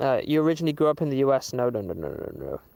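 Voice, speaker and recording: Speaking at a fairly quick pace, a man with a Southern English accent uses a fairly high pitch. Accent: normal Southern English. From southern England (Waterlooville, Hampshire). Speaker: musician and streamer. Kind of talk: casual live stream chat. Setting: outdoors livestream. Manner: hesitant, many fillers.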